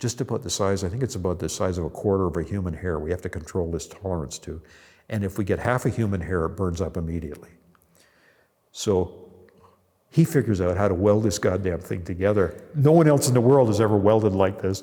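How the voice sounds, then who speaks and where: Speaking at a very fast pace, a man with a Canadian accent has a very deep, low pitch, a dark, mellow tone and ordinary pitch variation. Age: 70s. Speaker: entrepreneur. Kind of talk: casual interview storytelling. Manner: animated.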